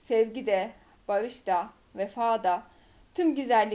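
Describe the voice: Reading aloud, plain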